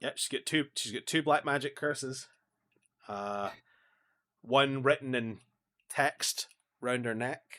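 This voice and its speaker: With a Scottish accent, this bright, sharp-toned voice moves at a fairly slow pace with fairly even intonation and long, frequent pauses, recorded very cleanly against a silent background. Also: man, medium pitch for a man. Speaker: podcast co-host. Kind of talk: casual chat.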